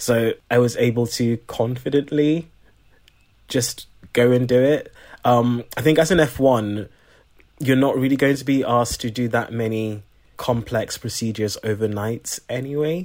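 A man speaks in a normal speaking voice at medium pitch. His intonation is fairly even, and his pace is moderate. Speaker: junior doctor. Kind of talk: casual chat.

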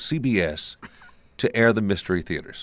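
A man's lively intonation at a fairly slow pace, on a very clean recording with a silent background. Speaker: radio executive and interviewer. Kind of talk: interview. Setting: museum event.

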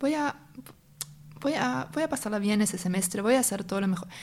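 This woman speaks with a German accent. Her pitch varies in an ordinary way. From northern Germany, North Sea island near Denmark. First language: German (speaking Spanish). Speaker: tech company executive and singer. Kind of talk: interview conversation. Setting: in person, same room as host.

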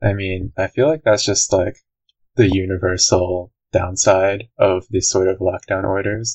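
A man's voice is very deep, low, and somewhat breathy. He speaks at a fairly slow pace with ordinary pitch variation. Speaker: university student. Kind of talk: casual chat.

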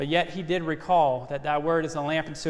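This man has a Louisiana accent and a fairly high pitch, speaking at a moderate pace with fairly even intonation. Audible room echo surrounds his voice. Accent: Southern US (Louisiana). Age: 30s. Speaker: ministry intern preaching. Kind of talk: sermon. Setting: church. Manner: measured, respectful tone.

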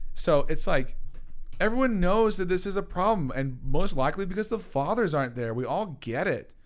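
The delivery is animated, with very wide pitch swings at a moderate pace. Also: man. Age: 20s. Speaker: podcast co-host. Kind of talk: casual chat.

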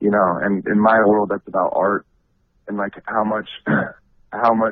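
This man keeps a moderate pace. His pitch is fairly low. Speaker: rapper. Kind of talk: interview. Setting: phone call.

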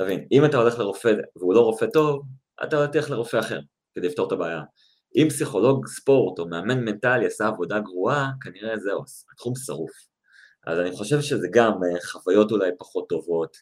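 A man's ordinary speaking voice at medium pitch, fairly quick and with lively intonation, on a very clean recording with a silent background. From Israel, Tel Aviv. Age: 30s. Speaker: sport psychologist. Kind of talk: interview.

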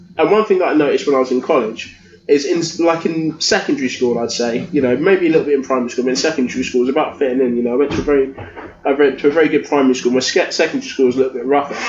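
Noticeable background noise surrounds a man whose fairly high voice races at a very fast pace. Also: ordinary pitch variation. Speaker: podcaster, guest co-host. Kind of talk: casual chat.

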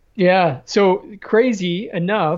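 The speaker is a man with an American accent. His pitch varies in an ordinary way. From Chicago, South Side. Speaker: former Navy SEAL officer, entrepreneur. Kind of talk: casual interview.

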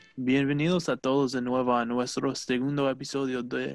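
The intonation is monotone and flat. It comes from a man at a medium pitch. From Wisconsin, US. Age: 20s. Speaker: student podcast host. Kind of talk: casual chat.

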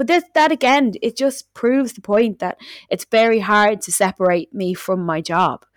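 In a Dublin accent, a woman with a fairly high pitch talks at a moderate pace with lively intonation, the sound dry and close with no echo on a very clean recording with a silent background. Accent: Dublin Irish. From Dublin, Ireland. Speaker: musician or artist, also runs a studio. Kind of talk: casual chat, podcast interview. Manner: changes accent to match the listener.

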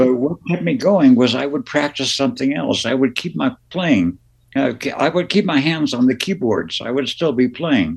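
A man's fairly high voice with vocal fry, very wide pitch swings and a moderate pace. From Las Vegas, born in New Jersey. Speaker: musician, keyboardist. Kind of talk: casual interview.

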